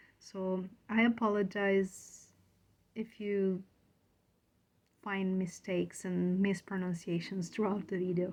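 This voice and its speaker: A woman's medium-pitched voice with a non-native accent, monotone and flat, at a very slow pace with long, frequent pauses. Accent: foreign. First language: not English. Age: 30s. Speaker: aspiring writer, video blogger. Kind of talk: casual vlog talk to camera.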